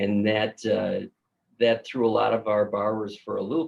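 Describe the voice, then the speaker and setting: With a Minnesotan accent, a man talks at a moderate pace. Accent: Minnesota. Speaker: mortgage banker. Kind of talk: casual chat.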